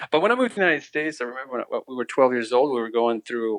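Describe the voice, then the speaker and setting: A man speaks with an American accent at a medium pitch. The sound is dry and close, with no echo. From Ukraine, then East Tennessee from age 12. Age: 30s. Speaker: refugee telling his faith story. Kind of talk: interview testimony. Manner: halting, many restarts.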